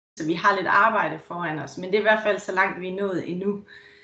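A woman of medium pitch speaks in a quiet background with audible room echo. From Denmark. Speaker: municipal technology staff presenter. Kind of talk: presentation with slides. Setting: video call.

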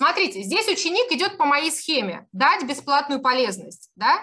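Her high, raised voice projects with a bright, sharp tone and very wide pitch swings. The woman sounds animated and keeps a moderate pace. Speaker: online marketing course instructor. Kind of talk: live webinar presentation with sales pitch. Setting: video call.

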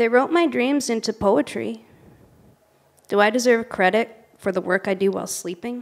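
Speech comes at a moderate pace. The pitch moves with ordinary variation. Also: woman, fairly high pitch for a woman. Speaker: poet. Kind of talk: poetry reading. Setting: livestream performance. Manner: halting, unsure, nervous. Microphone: handheld.

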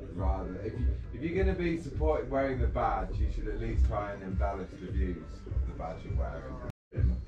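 A man talks at a moderate pace. Behind him, clear music can be heard. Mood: opinionated, chatty. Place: shop.

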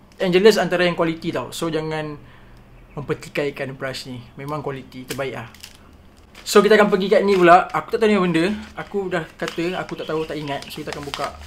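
A man talks very fast, with light noise in the background. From Malaysia. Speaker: art content creator. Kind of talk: casual unboxing vlog. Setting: at home, sunlight from the side. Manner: animated. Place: home room. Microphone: phone near.

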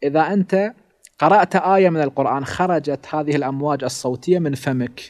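A man's fairly high voice at a moderate pace, with ordinary pitch variation and a quiet background. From Iraq, Karbala; Iraq. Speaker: Shia cleric and religious teacher; religious teacher. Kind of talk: religious lecture. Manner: formal. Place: home room. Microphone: studio mic.

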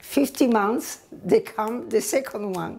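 A woman with a strong Italian accent, lively intonation and a very slow pace, over light background noise. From northern Italy. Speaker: immigrant recounting her life story. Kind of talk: personal testimony, oral history. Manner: halting, with broken grammar. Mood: warm, reflective. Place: kitchen. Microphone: lapel.

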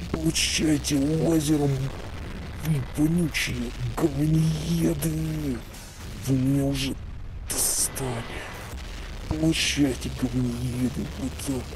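A man's put-on character voice at a fairly slow pace over loud background noise. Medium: machinima.

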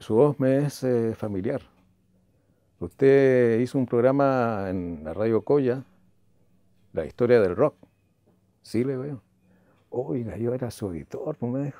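Very slowly, a man speaks in a dark, mellow tone with long, frequent pauses and ordinary pitch variation. The sound is dry with no echo. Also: quiet background. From Chile. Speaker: radio announcer. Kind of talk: interview answer. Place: home room. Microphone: lapel.

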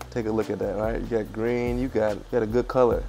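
A man talks at a very fast pace. Music plays in the background. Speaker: fitness cooking creator. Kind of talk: casual cooking tutorial. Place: kitchen. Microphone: lapel.

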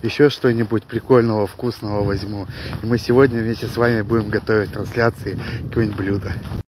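A man talks at a very fast pace, fairly low in pitch, with monotone, flat intonation. The sound is dry with no echo, though there is noticeable background noise. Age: 20s. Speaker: vlogger, father of five, odd-job worker; vlogger. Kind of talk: casual vlog to camera. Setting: outdoors, walking to shop. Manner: casual, colloquial. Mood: cheerful. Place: street. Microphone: phone near.

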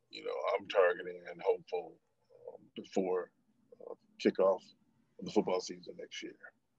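A man talks at a moderate pace with long, frequent pauses and big swings in loudness. The sound is dry with no echo, and the background is quiet. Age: 50s. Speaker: former football player and activist. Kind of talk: testimony. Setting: video call. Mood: earnest, committed.

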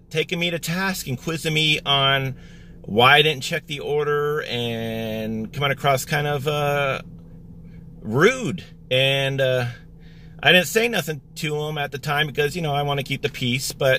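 Over light background noise, a man talks at a fairly slow pace with ordinary pitch variation, the sound dry with no echo. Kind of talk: casual vlog chat. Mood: annoyed, telling a grievance. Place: car. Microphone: phone near.

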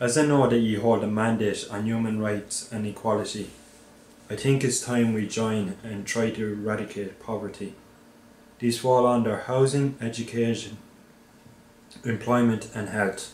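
Over light background noise and audible room echo, a man speaks at a moderate pace in a monotone, flat intonation, with long, frequent pauses. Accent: Irish. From Ireland. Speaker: anti-poverty activist. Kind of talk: poetry reading. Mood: earnest, appealing. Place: office.

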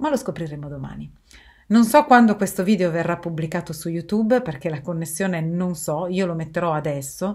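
Against a quiet background, a woman talks at a fairly quick pace. Her pitch is fairly low with ordinary pitch variation. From Turin, northern Italy; northern Italy. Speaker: video blogger. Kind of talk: monologue to camera. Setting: recorded video while travelling. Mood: calm, serious. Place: home room. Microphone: webcam.

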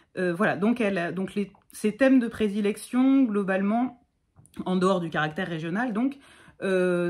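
A woman speaks at a moderate pace with a medium pitch and lively intonation against a quiet background. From Provence, Bouches-du-Rhône (Martigues); Provence. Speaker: content creator talking about poetry. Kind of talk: casual chat. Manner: halting, many hesitations. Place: home room. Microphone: phone near.

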